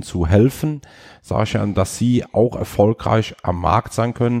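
A dark, mellow tone with fairly even intonation, in a dry, close sound with no echo. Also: man, quiet background. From Rhineland-Palatinate, Ahr/Eifel region, Germany. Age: 50s. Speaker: bank business client advisor. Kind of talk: casual interview.

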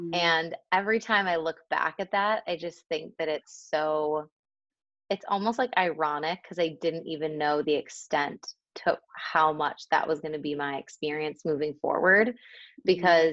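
With an American accent and a normal speaking voice, a woman talks at a moderate pace, her fairly low pitch varying in an ordinary way. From Buffalo, New York, US. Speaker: life and mindset coach. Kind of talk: casual interview chat.

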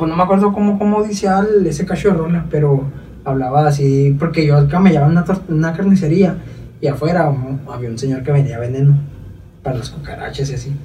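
Speech at a fairly quick pace with long, frequent pauses and ordinary pitch variation, recorded with audible room echo and noticeable background noise. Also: man, fairly high pitch for a man. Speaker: rapper. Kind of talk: casual chat.

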